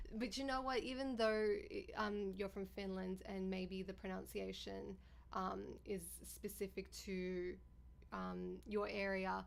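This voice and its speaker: The speaker has an Australian accent. The pace is very slow. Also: woman. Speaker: live streamer. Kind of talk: casual chat. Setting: live stream.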